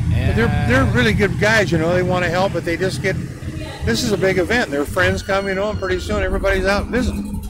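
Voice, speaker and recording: A man's high voice at a very fast pace with lively intonation, amid noticeable background noise and audible room echo. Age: 70s. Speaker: car show organizer. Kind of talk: casual interview. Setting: outdoors at car show.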